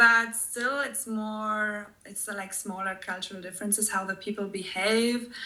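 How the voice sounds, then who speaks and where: Bright, sharp tone in a German accent, with fairly even intonation at a moderate pace. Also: woman. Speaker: expat tour guide. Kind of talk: podcast interview.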